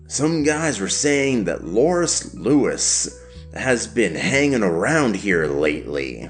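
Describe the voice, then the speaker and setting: Clear music plays in the background as a man does a put-on character voice at a medium pitch and a fairly slow pace. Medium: read story. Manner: bitter, explosive.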